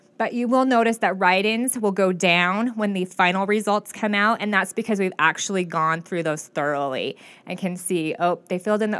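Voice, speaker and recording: In a normal speaking voice with an American accent, a woman talks at a fairly quick pace with a medium pitch and ordinary pitch variation, on a very clean recording with a silent background. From Klamath Falls, Oregon. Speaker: county clerk. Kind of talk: interview.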